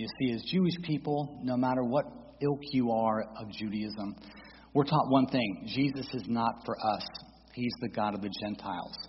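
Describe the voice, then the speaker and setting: A plain, everyday voice from a man with an American accent, medium pitch, ordinary pitch variation and a moderate pace. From Florida (St. Petersburg). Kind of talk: testimony and teaching presentation. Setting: church.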